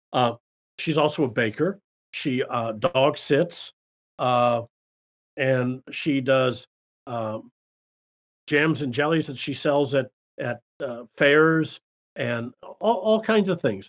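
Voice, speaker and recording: A man with an American accent speaks at a very slow pace, his fairly high voice rising and falling in a lively way between long, frequent pauses. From US Midwest, Davenport, Iowa. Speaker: small business accountant and consultant. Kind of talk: casual interview.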